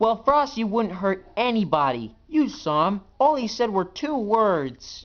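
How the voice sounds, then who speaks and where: In a put-on character voice, a man talks at a high pitch and fairly slow pace with hardly any pauses. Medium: machinima. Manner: eager.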